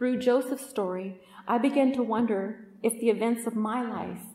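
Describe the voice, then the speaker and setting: A woman speaks in a West Coast accent with a fairly high pitch. Her pace is moderate. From Oakland, Northern California. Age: 40s. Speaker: podcast host and retreat speaker. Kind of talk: testimony talk at a women's retreat.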